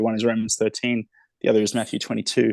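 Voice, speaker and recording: With an Australian accent, a man speaks very fast at a medium pitch in monotone, flat intonation, the sound dry and close with no echo. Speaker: author. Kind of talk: interview conversation.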